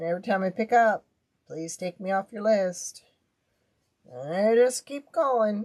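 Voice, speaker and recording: Woman at medium pitch and moderate pace, lively intonation, big swings in loudness, and long, frequent pauses. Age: 60s. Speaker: crafter. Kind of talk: live craft stream. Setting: livestream. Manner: casual.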